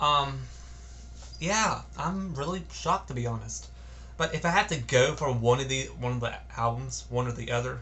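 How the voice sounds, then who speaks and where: Some echo from the room is audible. The delivery is neither fast nor slow. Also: man. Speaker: music reviewer. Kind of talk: casual album review vlog. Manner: halting, stuttering.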